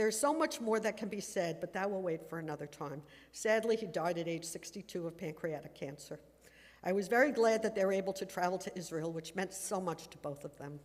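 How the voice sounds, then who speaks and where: At a fairly quick pace, a woman talks in a medium pitch with lively intonation. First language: German. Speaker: daughter giving memorial tribute. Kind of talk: memorial speech. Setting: synagogue dedication ceremony, livestreamed. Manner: formal.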